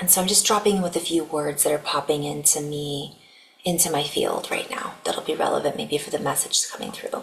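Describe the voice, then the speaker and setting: A woman speaks softly at a fairly quick pace, her pitch very deep and low. Her pitch varies in an ordinary way, and noticeable background noise runs underneath. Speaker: spiritual channeler. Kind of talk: channeled spiritual message. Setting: at home. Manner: soft-spoken. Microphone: poor microphone.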